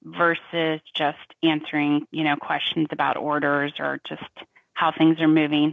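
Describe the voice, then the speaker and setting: A woman speaks with a Southern US accent at a fairly slow pace. Her pitch is very deep and low. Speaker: cloud solution architect. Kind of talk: tech discussion.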